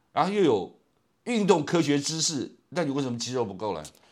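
On a very clean recording with a silent background, a man with a fairly high voice swings very widely in pitch. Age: 60s. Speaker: podcast host who asks the questions. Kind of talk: casual chat.

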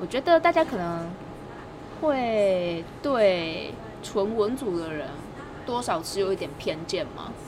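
Her speech comes at a very slow pace with long, frequent pauses and lively intonation. The woman's pitch is medium, and noticeable background noise is present. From Taiwan, Taichung. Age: 20s. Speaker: graduate student and language teacher. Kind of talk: casual interview. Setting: outdoors.

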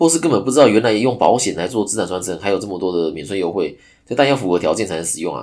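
A man races along at a very fast pace, his pitch fairly low. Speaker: podcast host, insurance agent. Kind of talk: solo podcast monologue. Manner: casual, filler-heavy. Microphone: new microphone.

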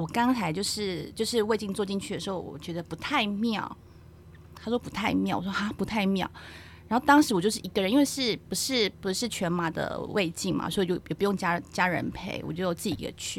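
At a fairly quick pace, a woman speaks at a medium pitch in a plain, everyday voice. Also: ordinary pitch variation. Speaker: geriatric nurse. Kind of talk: casual chat.

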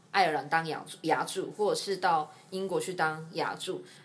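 A woman talks at a moderate pace with a fairly low pitch. She has an ordinary speaking voice. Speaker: nurse and podcast host. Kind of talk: casual interview chat.

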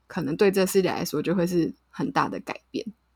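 A woman's medium-pitched voice with a Taiwanese accent, some vocal fry, and a moderate pace. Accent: Taiwanese Mandarin. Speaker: podcast co-host. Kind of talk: casual chat.

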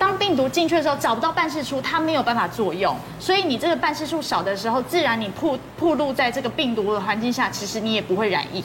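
Music plays behind a woman who talks very fast in a high pitch. Her pitch swings very widely, and the room echo is audible. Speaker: media commentator. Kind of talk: TV talk show discussion.

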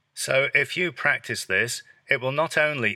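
A man with an English accent speaks at a fairly slow pace. The sound is dry and close with no echo, on a very clean recording with a silent background. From England. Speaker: English teacher. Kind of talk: tutorial. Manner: natural pace; clear.

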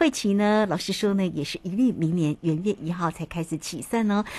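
A woman with a Taiwanese accent at a moderate pace. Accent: Taiwanese Mandarin. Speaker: radio host. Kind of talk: radio interview. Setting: radio studio.

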